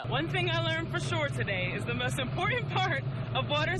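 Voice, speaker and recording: A woman with an American accent, noticeable background noise behind her. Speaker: television news reporter, multimedia journalist. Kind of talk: TV news reporter package and standup.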